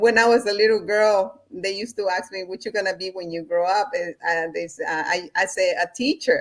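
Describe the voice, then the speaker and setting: A woman with a Spanish accent at a medium pitch, fairly quick and with hardly any pauses, her pitch varying in an ordinary way. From Honduras, Central America. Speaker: spiritual practitioner and entrepreneurship coach. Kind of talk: conversational interview.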